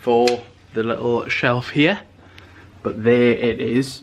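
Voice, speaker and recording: A man talks at a very slow pace in a medium pitch. Background noise is noticeable. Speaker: vlogger. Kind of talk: casual vlog chat.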